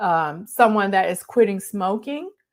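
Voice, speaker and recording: A woman speaks at a medium pitch and a fairly slow pace. Her pitch varies in an ordinary way, and the recording is very clean with a silent background. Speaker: leadership coach for healthcare leaders. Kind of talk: live stream talk. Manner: stumbling over words.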